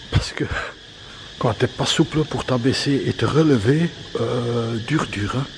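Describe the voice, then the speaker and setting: Noticeable background noise sits under a man's medium-pitched voice, which shows ordinary pitch variation. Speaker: travel vlogger. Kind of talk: travel vlog. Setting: monastery among monks, on location. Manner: halting, stammering; soft-spoken.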